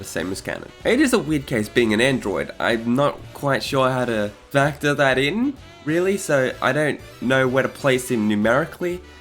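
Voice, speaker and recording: Over music in the background, a man speaks at medium pitch and a moderate pace with lively intonation. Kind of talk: casual fan-theory commentary narration.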